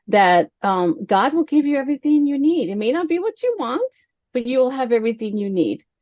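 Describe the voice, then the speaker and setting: In an American accent, a woman with a dark, mellow tone speaks at a moderate pace with lively intonation, the sound dry and close with no echo. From Texas, El Paso. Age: 50s. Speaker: author and entrepreneur. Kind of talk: interview. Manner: animated.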